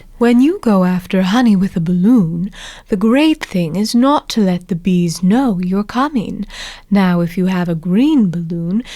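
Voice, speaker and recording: A woman's growling, put-on character voice at medium pitch and a moderate pace. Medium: read story. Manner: slow, thoughtful.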